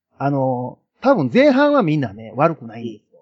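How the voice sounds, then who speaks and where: A man's fairly slow delivery with very wide pitch swings. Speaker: film enthusiast guest. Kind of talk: casual chat.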